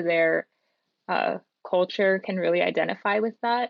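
This is an unremarkable speaking voice. Its pace is moderate. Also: woman. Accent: American. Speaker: podcast panelist. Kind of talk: casual chat.

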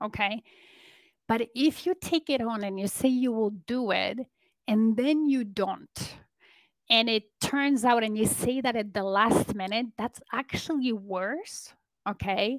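A woman with a Polish accent and a fairly high voice speaks fairly slowly with ordinary pitch variation, the sound dry and close with no echo. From Poland. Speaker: business and leadership coach. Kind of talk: interview conversation. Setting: remote call.

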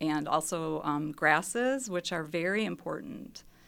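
With an American accent, a woman speaks very slowly, her bright, sharp tone carrying vocal fry and lively intonation. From Mount Pleasant, Wisconsin. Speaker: scientist and native plant sale organizer. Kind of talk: casual radio interview. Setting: studio.

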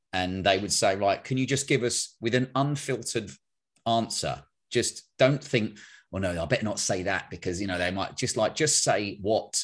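Over a quiet background, a man with an ordinary speaking voice talks at a moderate pace with lively intonation. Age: 40s. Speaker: men's coach and podcaster. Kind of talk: casual chat.

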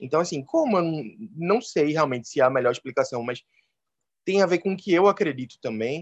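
Against a quiet background, a man speaks with lively intonation at a fairly high pitch, in a dry, close sound with no echo. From Recife, northeastern Brazil. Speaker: biology teacher and animal-assisted therapist. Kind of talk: casual interview.

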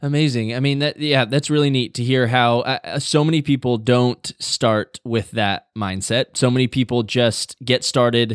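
A man talks at a moderate pace in a normal speaking voice, medium in pitch with fairly even intonation and hardly any pauses. The sound is dry and close, with no echo. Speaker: podcast host. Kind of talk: interview conversation. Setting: remote call across time zones.

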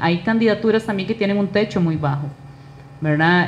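In a Costa Rican accent, a woman speaks with a fairly low voice and ordinary pitch variation. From Costa Rica, Alajuela (Naranjo). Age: 30s. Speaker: political candidate. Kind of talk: interview.

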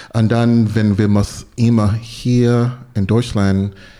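A man speaks in a fairly low register with a dark, mellow tone and a flat, monotone delivery. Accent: English. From US South, North Carolina. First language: English (speaking German). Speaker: soul singer. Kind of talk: casual chat. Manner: halting.

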